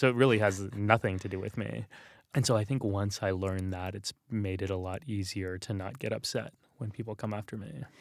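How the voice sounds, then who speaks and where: In a normal speaking voice with an American accent, a man talks at a fairly quick pace with a fairly low pitch and fairly even intonation, on a very clean recording with a silent background. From Texas, San Antonio. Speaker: religious scholar and author. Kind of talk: interview conversation. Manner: casual, many fillers and repetitions.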